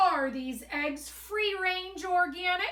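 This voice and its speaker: In a gruff, put-on character voice, a woman projects at an extremely high pitch with a grumpy tone, speaking at a very slow pace. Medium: read story. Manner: grumpy, gruff.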